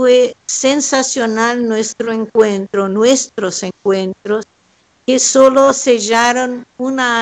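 A woman speaks with a Brazilian accent at a very slow pace. Her pitch is high. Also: dry, close sound with no echo. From southern Brazil, Pelotas. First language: Portuguese (speaking Spanish). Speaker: painter. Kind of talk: panel discussion. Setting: remote call from home.

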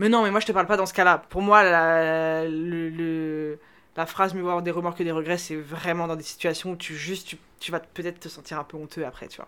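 A woman's fairly low, monotone voice with flat intonation, a bright, sharp tone, big swings in loudness and a fairly quick pace, on a very clean recording with a silent background. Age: 20s. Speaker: data scientist. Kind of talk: casual chat.

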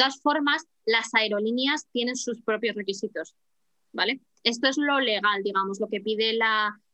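This woman has a plain, everyday voice with a fairly high pitch. She speaks at a moderate pace with ordinary pitch variation. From Spain, Madrid. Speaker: flight attendant and language teacher. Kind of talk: casual interview.

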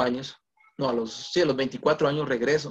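A man is speaking. His voice has a fairly high pitch. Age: 20s. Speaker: guest preacher. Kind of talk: sermon. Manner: halting.

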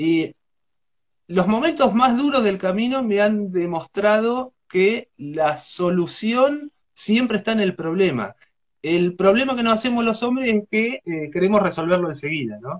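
A man with a Rioplatense accent speaks at a fairly slow pace, his high-pitched voice marked by lively intonation. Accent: Argentine Spanish (rioplatense). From Argentina, rural Buenos Aires province. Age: 40s. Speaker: traveling poet. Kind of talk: interview.

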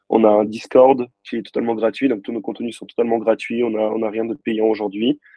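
Moderate pace and monotone, flat intonation. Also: man. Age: 20s. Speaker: crypto investment media creator. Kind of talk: casual interview.

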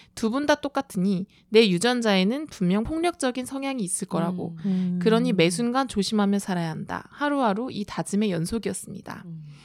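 At a moderate pace, a woman with an ordinary speaking voice and a fairly high pitch talks with ordinary pitch variation, the sound dry and close with no echo on a very clean recording with a silent background. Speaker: TV writer. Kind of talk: casual chat.

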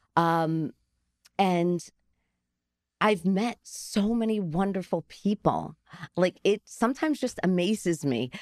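A woman speaks very slowly with a New Jersey accent and lively intonation at a medium pitch. The sound is dry and close, with no echo. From New Jersey, Garfield. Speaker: ice cream truck business owner. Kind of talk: interview. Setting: studio. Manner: halting.

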